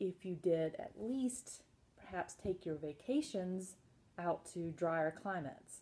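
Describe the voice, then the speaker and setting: A woman speaks with an American accent. She goes at a fairly slow pace with ordinary pitch variation. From US South, South Carolina. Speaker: health educator / chronic illness survivor. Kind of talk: casual informational talk. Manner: animated.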